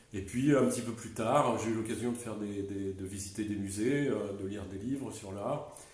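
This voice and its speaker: Amid noticeable background noise and audible room echo, a man speaks at a moderate pace with a fairly low pitch and fairly even intonation. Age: 60s. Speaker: business owner and art enthusiast. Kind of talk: interview. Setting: at his home. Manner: hesitant, many fillers.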